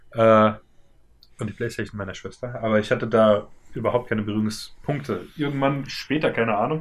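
A man with an unremarkable speaking voice talks at a fairly quick pace, his medium pitch showing ordinary pitch variation. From Germany, Worms. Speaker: podcast co-host. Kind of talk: casual chat.

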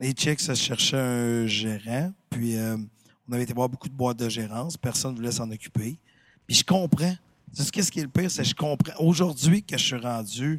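Speaking at a moderate pace with a Quebec accent, a man uses a medium pitch and ordinary pitch variation on a very clean recording with a silent background and a dry, close sound with no echo. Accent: Québécois French. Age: 50s. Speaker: talent manager. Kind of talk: casual chat.

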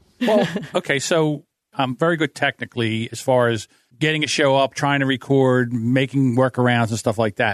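A man with a normal speaking voice talks at a moderate pace, medium in pitch with ordinary pitch variation. The sound is dry and close with no echo, and the background is quiet. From New Jersey. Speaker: podcast audio producer. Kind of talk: casual chat. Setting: video call.

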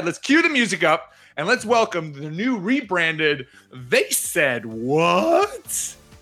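Over background music, a man puts on a hoarse, high-pitched character voice and talks at a fairly slow pace.

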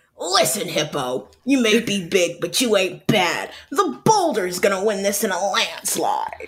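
In a put-on character voice at a middle pitch, the speaker goes at a fairly slow pace. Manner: tough, confident.

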